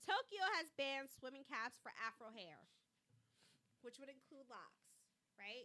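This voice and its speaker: Projecting her raised voice, a woman speaks fairly slowly in a bright, sharp, high tone that swings very widely in pitch. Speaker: podcast host. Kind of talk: casual news commentary.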